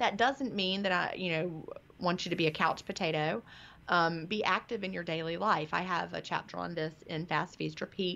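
A woman with a bright, sharp tone and vocal fry talks at a moderate pace with ordinary pitch variation. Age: 50s. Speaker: author. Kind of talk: interview.

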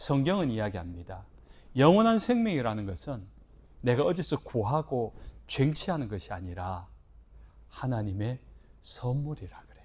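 This man's voice is somewhat breathy and has very wide pitch swings. He talks at a moderate pace, broken by long, frequent pauses. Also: medium pitch for a man, big swings in loudness. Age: 50s. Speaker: pastor. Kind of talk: sermon.

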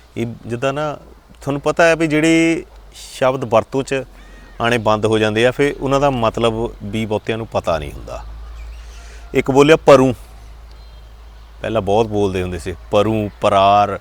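A medium-pitched man talks with lively intonation in an ordinary speaking voice. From Doaba, Punjab. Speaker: vlogger. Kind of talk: casual talk to camera.

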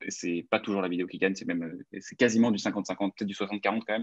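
Speaking at a very fast pace, a man with a fairly low pitch keeps a fairly even intonation in a dry, close sound with no echo. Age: 20s. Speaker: ad agency founder. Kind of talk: interview.

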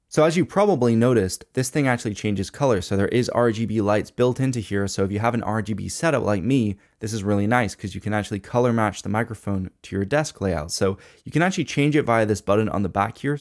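A man at a very fast pace with hardly any pauses, ordinary pitch variation, and a quiet background. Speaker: tech reviewer. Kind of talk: product review commentary. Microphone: studio mic.

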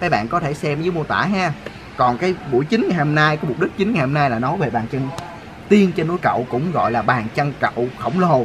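Over noticeable background noise, a man speaks at a fairly quick pace. His pitch is fairly high, and his intonation is lively. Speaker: travel vlogger. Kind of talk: casual vlog narration and interview. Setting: outdoors on location. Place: open country.

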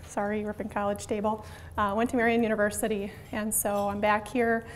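A woman talking at a fairly quick pace, with light background noise. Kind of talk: presentation to a club. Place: meeting room. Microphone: handheld.

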